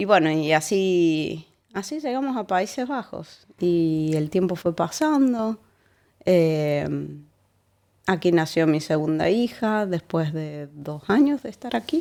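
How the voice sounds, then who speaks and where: Woman with an Argentine accent at a very slow pace, fairly low pitch, lively intonation and a dark, mellow tone, in a very clean recording with a silent background. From Argentina, Córdoba. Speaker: immigrant sharing life story. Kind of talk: casual interview. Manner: halting, many fillers and repetitions.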